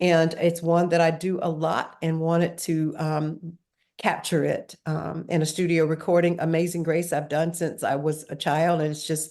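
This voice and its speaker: Dark, mellow tone from a woman with an American accent, fairly low pitch, monotone, flat intonation and a moderate pace. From US South, rural North Carolina. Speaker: singer. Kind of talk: interview. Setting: video call.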